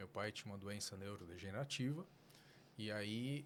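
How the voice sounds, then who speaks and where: The pace is moderate. Intonation is lively throughout. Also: man. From São Paulo until age 11, then Fortaleza, Brazil. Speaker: neurologist, medical school coordinator. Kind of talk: podcast interview.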